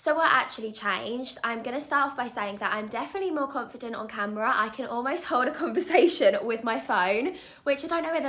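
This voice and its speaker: A woman talks at a very fast pace with lively intonation over noticeable background noise. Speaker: vlogger. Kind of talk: casual vlog talk to camera. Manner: chatty, continuous.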